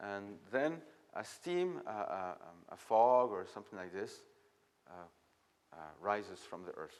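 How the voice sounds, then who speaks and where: A man with a French accent talks at a fairly low pitch, his voice making very wide pitch swings and big swings in loudness, broken by long, frequent pauses. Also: fairly slow pace. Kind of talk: masterclass talk. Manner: halting.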